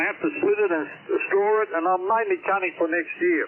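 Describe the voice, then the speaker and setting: A man speaks with an Australian accent. Noticeable background noise runs under his voice. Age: 70s. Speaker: amateur radio operator. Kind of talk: radio contact chat. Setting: radio transmission. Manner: halting.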